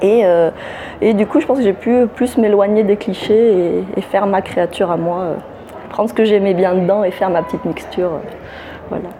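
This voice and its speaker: A woman's medium-pitched voice shows ordinary pitch variation, with noticeable background noise behind it. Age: 30s. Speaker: novelist. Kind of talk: interview. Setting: book festival.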